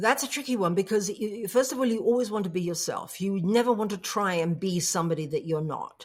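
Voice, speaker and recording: The speaker has an English accent and lively intonation. The delivery is fairly quick, with hardly any pauses. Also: woman, medium pitch for a woman. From England. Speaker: coach and public speaker. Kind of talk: interview.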